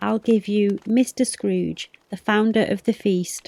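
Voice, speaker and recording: Soft-spoken and dark, mellow in tone, a woman at medium pitch talks at a fairly slow pace with fairly even intonation, in a dry, close sound with no echo. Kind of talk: audiobook reading; bedtime story.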